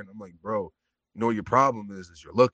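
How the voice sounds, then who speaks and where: Very fast speech from a man with a bright, sharp tone, a fairly low pitch and fairly even intonation. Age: 20s. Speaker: podcast host. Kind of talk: casual chat.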